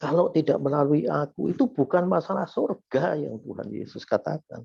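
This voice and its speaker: This man has a fairly high voice with vocal fry and a dark, mellow tone. His intonation is lively. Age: 70s. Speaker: lay preacher. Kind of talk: sermon.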